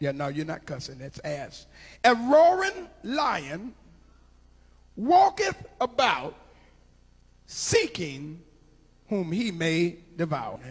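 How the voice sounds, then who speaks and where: In an American accent, a man speaks at a very slow pace with a raised, projected voice and very wide pitch swings. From Ohio, USA. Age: 50s. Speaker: preacher. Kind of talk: sermon. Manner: melodic, rhythmic preaching. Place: church. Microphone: handheld.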